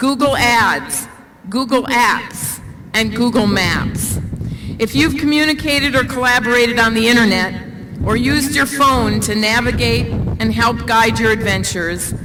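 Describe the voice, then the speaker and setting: A woman with a fairly high pitch speaks at a fairly slow pace with ordinary pitch variation and very even loudness. Noticeable background noise is present. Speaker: university official introducing a speaker. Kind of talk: commencement speaker introduction. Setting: outdoors, windy, PA system.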